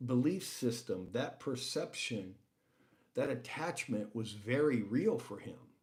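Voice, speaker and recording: A man with an American accent speaks fairly slowly in a dark, mellow tone at a medium pitch. His intonation is lively, and the room echo is audible. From United States. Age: 60s. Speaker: livestream host. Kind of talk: casual talk show monologue.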